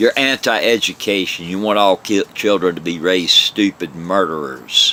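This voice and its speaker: Over noticeable background noise, a man talks at a moderate pace in a fairly low voice with ordinary pitch variation and a dry, close sound with no echo. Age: 60s. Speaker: vlogger, religion critic. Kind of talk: angry monologue rant. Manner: animated, forceful.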